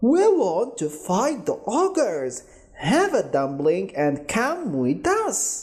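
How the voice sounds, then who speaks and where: A female-sounding put-on character voice, fairly high in pitch and very slow. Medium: read story.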